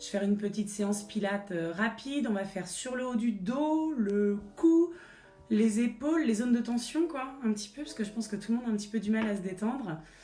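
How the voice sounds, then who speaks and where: Lively intonation and a fairly quick pace come through audible room echo, with music in the background. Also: woman, fairly high pitch for a woman. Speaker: fitness instructor. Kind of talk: live-streamed Pilates class. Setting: livestream from a child's bedroom at home. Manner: instructive, cueing exercises.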